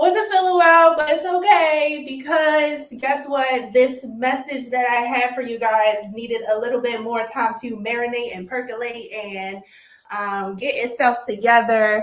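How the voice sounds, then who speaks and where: A woman with an American accent speaks loudly and fairly slowly in a high pitch and an animated tone, with noticeable background noise. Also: ordinary pitch variation. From Maryland, DMV area. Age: 30s. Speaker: financial educator, livestreamer. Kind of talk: livestream presentation. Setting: livestream.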